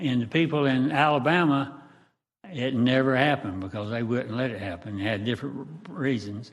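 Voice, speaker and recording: Speaking fairly quickly in a Southern US accent, a man with a medium pitch is heard amid audible room echo. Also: ordinary pitch variation. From Jacksonville, Florida. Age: 80s+. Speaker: resident speaking at public hearing. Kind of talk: public comment. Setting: council meeting. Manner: halting.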